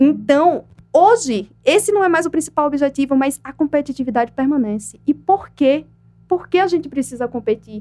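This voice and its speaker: Her pitch high and her intonation lively, a woman talks at a moderate pace with a dark, mellow tone. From Brazil, Aracaju (Sergipe, Northeast). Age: 20s. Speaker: poet and writer. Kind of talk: interview.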